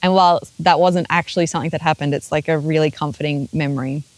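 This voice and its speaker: Very deep, low pitch from a woman, with fairly even intonation. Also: dry, close sound with no echo. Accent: Australian. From Australia, Queensland. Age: 30s. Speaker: interviewee. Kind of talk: interview.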